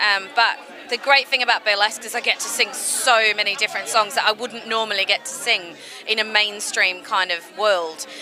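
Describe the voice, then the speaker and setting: Music plays in the background as a woman with a fairly high pitch talks at a moderate pace. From Australia. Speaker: burlesque singer. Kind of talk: interview. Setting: press party. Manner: casual, chatty.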